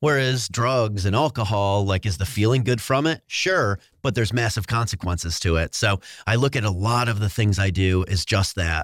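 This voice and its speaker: A normal speaking voice with an American accent, moderate pace, ordinary pitch variation and very even loudness, on a very clean recording with a silent background. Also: man, fairly low pitch for a man. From upstate New York. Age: 40s. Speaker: endurance athlete and brand entrepreneur. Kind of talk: casual interview.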